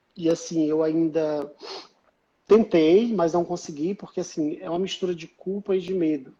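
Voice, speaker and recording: Dark, mellow tone from a man with a high pitch, fairly even intonation, and a moderate pace. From Northeast Brazil. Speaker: writer. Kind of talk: interview answer.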